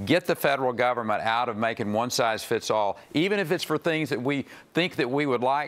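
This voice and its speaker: A man talks at a moderate pace with a Texan accent. His intonation is lively. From Texas. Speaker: politician. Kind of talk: political forum answer. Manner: halting, hesitant. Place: stage. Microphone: lapel.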